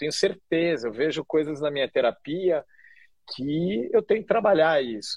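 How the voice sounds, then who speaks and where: A man speaks in a plain, everyday voice, fairly high in pitch, at a moderate pace with lively intonation. The sound is dry and close, with no echo. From Curitiba, southern Brazil. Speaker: chef and social entrepreneur. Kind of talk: interview conversation.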